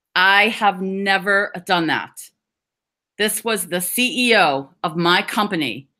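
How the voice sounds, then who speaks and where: Against a silent background on a very clean recording, a woman with an American accent speaks at a very slow pace, her medium-pitched voice bright and sharp in tone. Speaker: stuttering advocate. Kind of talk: awareness talk. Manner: stutters.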